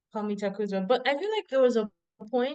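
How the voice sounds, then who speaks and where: A woman with a Zimbabwean accent speaks at a high pitch with lively intonation. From Zimbabwe, then Ireland. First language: Shona. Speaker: PhD researcher. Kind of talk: casual interview.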